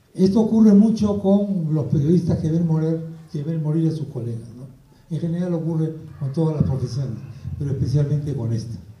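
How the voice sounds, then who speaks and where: Pitched high, a man's voice moves at a moderate pace with ordinary pitch variation. Room echo can be heard. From Peru (Lima), arrived from Spain aged four. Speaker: journalist. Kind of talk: book presentation talk.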